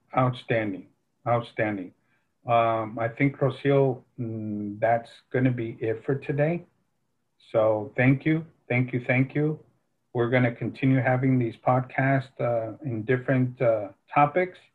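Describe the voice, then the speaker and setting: A man's somewhat breathy voice moves along at a fairly slow speed. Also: medium pitch for a man. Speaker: faith podcast co-host. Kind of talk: casual faith-based chat. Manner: enthusiastic.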